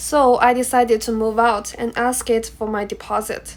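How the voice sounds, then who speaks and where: A woman with a Chinese accent speaks at a fairly slow pace in a high voice. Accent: Mandarin Chinese accent in English. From China. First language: Mandarin. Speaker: international student. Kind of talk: class presentation speech.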